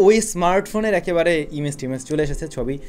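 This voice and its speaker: A man speaks in a high voice with lively, bouncing intonation. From Bangladesh. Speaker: tech YouTuber. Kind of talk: tech news vlog. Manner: casual and lively. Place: home room.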